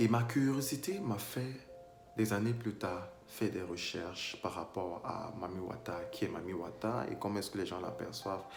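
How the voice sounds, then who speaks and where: Ordinary pitch variation at a moderate pace, with music in the background. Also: man, fairly low pitch for a man. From Cameroon. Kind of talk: casual talk to camera.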